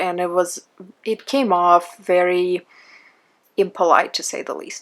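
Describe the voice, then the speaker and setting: With ordinary rises and falls in pitch, a woman talks in a non-native accent. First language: not English. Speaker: beauty blogger and online group admin. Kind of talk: casual monologue reading comments.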